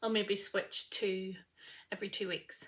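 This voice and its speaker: A woman's medium-pitched voice at a fairly slow pace, monotone and flat in intonation, mumbled, with a bright, sharp tone. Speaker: knitting podcaster. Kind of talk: casual chat. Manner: tends to mumble; projecting loudly. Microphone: no microphone, built-in mic.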